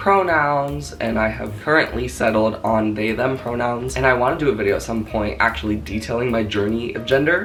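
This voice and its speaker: Noticeable noise sits in the background. The delivery is fairly quick. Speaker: vlogger. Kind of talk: casual vlog monologue.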